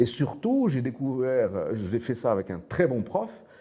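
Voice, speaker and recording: At a fairly slow pace, a man talks at a medium pitch in a dark, mellow tone with ordinary pitch variation. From Morocco, Casablanca. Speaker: author and teacher. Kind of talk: interview. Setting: studio. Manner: hesitant, repeats words.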